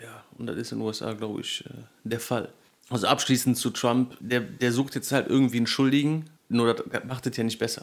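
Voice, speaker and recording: In a plain, everyday voice, a man talks at medium pitch and a moderate pace. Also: fairly even intonation. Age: 20s. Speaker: podcast co-host. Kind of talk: casual chat.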